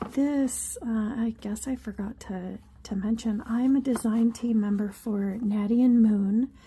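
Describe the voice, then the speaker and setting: Against noticeable background noise, a woman with a fairly high pitch and fairly even intonation speaks at a very slow pace. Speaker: craft youtuber. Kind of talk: craft tutorial. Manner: hesitant, many fillers.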